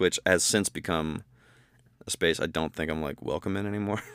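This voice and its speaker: A man speaks with an American accent in a very deep, low pitch. The recording is very clean, with a silent background. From Ohio, US Midwest (Bowling Green). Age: 30s. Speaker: country musician, songwriter. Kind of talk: casual interview.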